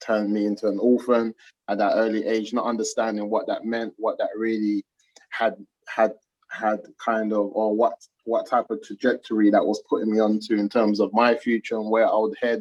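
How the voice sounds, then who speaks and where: A man with a London accent speaks in a monotone, flat way, recorded dry and close with no echo. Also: medium pitch for a man, moderate pace. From South London, England. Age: 30s. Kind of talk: interview. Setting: video call.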